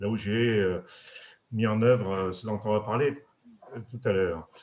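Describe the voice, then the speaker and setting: This man speaks at a fairly low pitch. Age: 60s. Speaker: retired industrial executive. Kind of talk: webinar presentation. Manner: halting, many hesitations.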